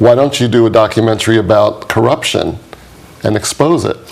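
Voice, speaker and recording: A man with a New York accent and fairly even intonation, over noticeable background noise. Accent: New York American English. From New York, US. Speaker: documentary producer and activist. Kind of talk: interview.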